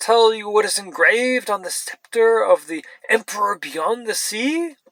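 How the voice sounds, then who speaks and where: Doing a put-on character voice, a man speaks shrill and high in pitch at a fairly slow pace. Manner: angry, accusing.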